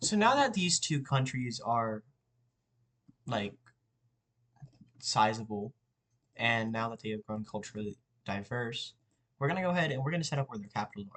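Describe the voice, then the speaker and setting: Speaking at a moderate pace and medium pitch, a man shows ordinary pitch variation, big swings in loudness, and long, frequent pauses. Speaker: YouTuber making map history videos. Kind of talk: casual tutorial-style narration while drawing. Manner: halting, self-correcting.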